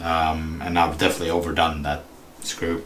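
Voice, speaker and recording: Speaking in a Swedish accent, a man with a very deep, low pitch keeps a moderate pace while audible room echo surrounds his voice. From Sweden. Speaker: RC hobby streamer. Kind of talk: casual livestream tutorial while repairing. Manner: halting, with fillers.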